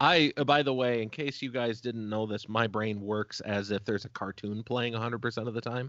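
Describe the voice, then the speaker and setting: A man talks at a fairly quick pace in an ordinary speaking voice. His pitch sits in the medium range, with fairly even intonation. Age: 30s. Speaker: podcast host. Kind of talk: casual chat.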